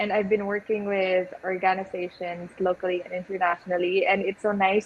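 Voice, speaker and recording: Over noticeable background noise, a woman of medium pitch talks at a moderate pace in a flat monotone. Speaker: beauty pageant contestant. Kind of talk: interview.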